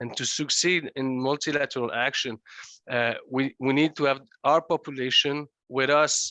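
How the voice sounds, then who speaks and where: With a non-native accent, a man talks in a flat monotone at a fairly high pitch. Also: quiet background. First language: French. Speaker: legislator. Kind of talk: conference remarks. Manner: halting, many hesitations.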